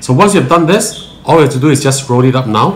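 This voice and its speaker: Light background noise sits beneath a man speaking at a moderate pace with ordinary pitch variation. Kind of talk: tutorial. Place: kitchen.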